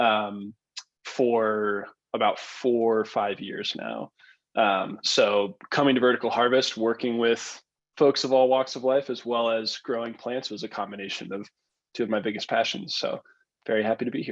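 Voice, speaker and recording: Talking in an American accent, a man with a normal speaking voice keeps a medium pitch, a moderate pace and fairly even intonation. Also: quiet background. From Maryland, US (Baltimore). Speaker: greenhouse worker. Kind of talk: panel discussion.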